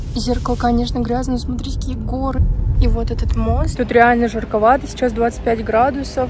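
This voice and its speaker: A woman's fairly quick speech amid noticeable background noise. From Buryatia, Russia. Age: 20s. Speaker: student in China, vlogger. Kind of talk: casual travel vlog talk to camera.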